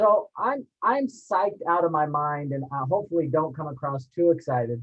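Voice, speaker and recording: A man's fairly high voice moves at a moderate tempo, with pitch that varies in an ordinary way. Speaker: university administrator and panel moderator. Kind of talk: webinar panel presentation. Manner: loud.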